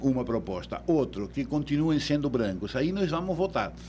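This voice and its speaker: A man's voice with very wide pitch swings. It sounds somewhat breathy. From Uruguay. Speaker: electoral law expert. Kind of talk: radio interview.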